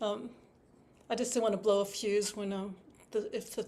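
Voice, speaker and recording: At a fairly quick pace, a woman speaks in a Wisconsin accent. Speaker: harpist teaching a workshop. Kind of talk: online workshop talk. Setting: video call from home. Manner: fast; halting, many fillers and restarts.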